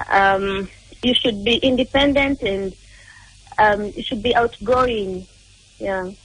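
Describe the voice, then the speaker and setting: Her pitch fairly high, a woman speaks at a very slow pace, leaving long, frequent pauses. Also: ordinary pitch variation. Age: 20s. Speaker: caller. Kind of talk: phone call to a radio dating segment.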